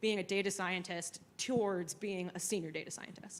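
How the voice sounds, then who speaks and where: This is a woman speaking. Her pace is moderate. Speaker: panelist, data scientist. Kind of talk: panel discussion. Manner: soft-spoken.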